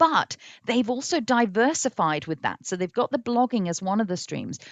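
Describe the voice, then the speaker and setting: A woman talks at a fairly high pitch. Her voice makes very wide pitch swings. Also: moderate pace. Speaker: business coach for speakers. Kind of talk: live online training. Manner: halting.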